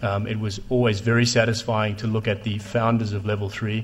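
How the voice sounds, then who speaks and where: A man talks at a fairly quick pace in a fairly low, somewhat breathy voice with monotone, flat intonation. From South Africa. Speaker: telecom investor. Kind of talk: panel discussion. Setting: stage with audience.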